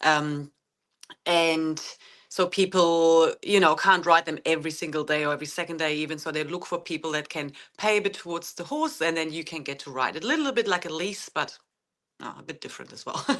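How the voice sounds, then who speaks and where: Fairly quick, fairly even speech with a German accent against a quiet background. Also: woman, fairly low pitch for a woman. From Germany. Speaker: horse owner and author. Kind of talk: podcast interview. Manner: halting, many fillers.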